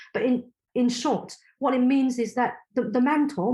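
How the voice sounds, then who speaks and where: A woman's dark, mellow tone with a Cantonese accent, on a very clean recording against a silent background. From Hong Kong. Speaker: inclusion consultant. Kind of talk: podcast interview. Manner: halting.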